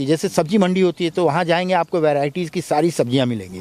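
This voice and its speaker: A man's high-pitched voice with a dark, mellow tone comes through dry and close, with no echo. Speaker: film actor. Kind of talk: interview.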